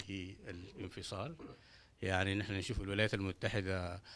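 A man speaks in a fairly low pitch. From Sudan. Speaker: political party representative; panelist. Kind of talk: panel discussion. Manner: hesitant, with filler sounds. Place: meeting room. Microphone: handheld.

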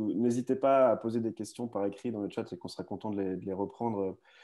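A man talks fairly quickly, his medium-pitched voice showing ordinary pitch variation. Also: quiet background. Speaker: online news host. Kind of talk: live video discussion. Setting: video call. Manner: halting, many repetitions. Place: home room. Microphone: earbuds.

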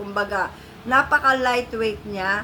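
A woman talks in a normal speaking voice, her pitch fairly high with ordinary pitch variation. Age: 50s. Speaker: beauty vlogger. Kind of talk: product review vlog. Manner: chatty, friendly.

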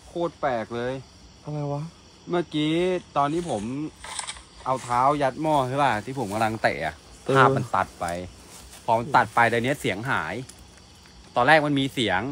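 The sound is dry, with no echo, and light background noise. Pitch variation is ordinary. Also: man. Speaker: ghost-hunting video crew member. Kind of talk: casual explaining chat. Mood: puzzled, slightly uneasy. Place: forest. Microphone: lapel.

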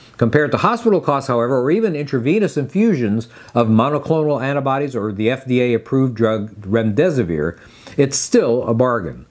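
A man talks fairly fast, his pitch swinging very widely, over a quiet background. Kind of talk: medical explainer to camera. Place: office. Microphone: lapel.

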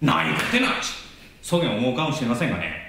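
A man with a Kagoshima accent at a fairly quick pace, with audible room echo and light background noise. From Kagoshima (Satsuma), Japan. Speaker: actor. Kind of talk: promotional message to camera. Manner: enthusiastic.

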